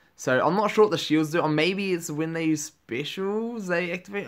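Over a quiet background, a man speaks with a New Zealand accent. His pace is moderate. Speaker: gaming YouTuber. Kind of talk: gameplay commentary. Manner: animated. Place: home room.

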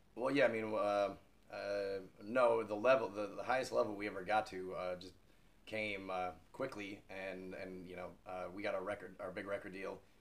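Speaking at a moderate pace with an American accent, a man uses a fairly low pitch and fairly even intonation, with big swings in loudness. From United States. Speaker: rock singer. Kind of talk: interview answer. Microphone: camera far.

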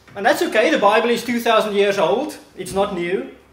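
Audible room echo surrounds this man's voice. He talks at a moderate pace. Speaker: visiting preacher. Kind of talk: sermon. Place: hall. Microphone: podium.

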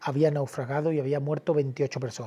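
At a moderate pace, a man with a fairly high pitch and a dark, mellow, somewhat breathy tone speaks over a quiet background. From Cádiz, Andalusia, Spain; Andalusia, Spain. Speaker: documentary filmmaker and journalist; journalist. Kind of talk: interview. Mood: earnest, indignant. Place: studio. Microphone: lapel.

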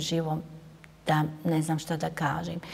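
A woman is speaking. Her pace is moderate. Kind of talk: interview answer. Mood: somber, reflective. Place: hall. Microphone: lapel.

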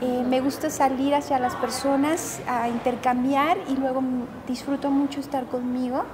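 A woman speaks at a fairly slow pace in a high, flat monotone, with noticeable background noise and audible room echo. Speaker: psychotherapist and self-help author. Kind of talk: interview.

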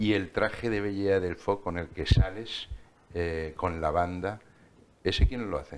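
A man speaks at a fairly slow pace in a very deep, low voice, with ordinary pitch variation. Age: 50s. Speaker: TV interviewer. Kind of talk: TV interview. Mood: warm, friendly. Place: studio.

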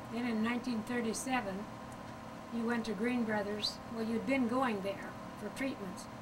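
A woman talks at a moderate pace with noticeable background noise. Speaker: grandmother. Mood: warm reminiscing. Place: home room. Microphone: old recording.

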